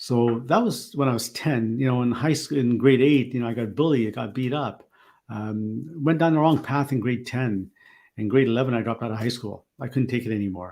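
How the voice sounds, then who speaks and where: A man speaks with ordinary pitch variation. The recording is very clean, with a silent background. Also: medium pitch for a man, fairly quick pace. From Canada, Ottawa. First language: not English. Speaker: keynote speaker. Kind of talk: interview, personal story.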